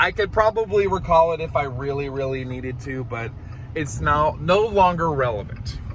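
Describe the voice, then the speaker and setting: With noticeable background noise behind him, a man speaks at a moderate pace in a fairly high pitch with lively intonation. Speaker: vlogger. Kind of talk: casual storytelling. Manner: loud; animated.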